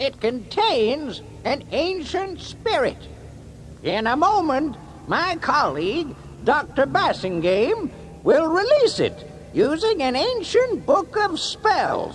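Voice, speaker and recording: A put-on character voice, high in pitch with very wide pitch swings, comes at a fairly slow pace over clear background noise. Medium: read story. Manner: showy, hucksterish.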